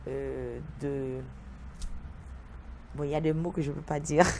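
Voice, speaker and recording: Very slowly, a woman speaks with audible room echo. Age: 50s. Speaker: vodou priestess. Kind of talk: TV interview. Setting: TV studio. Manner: halting, searching for words.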